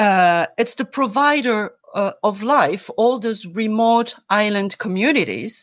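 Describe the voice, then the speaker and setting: A woman with a French accent speaks at a very slow pace with hardly any pauses, her fairly high pitch showing ordinary variation. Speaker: environmental volunteer. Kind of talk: interview.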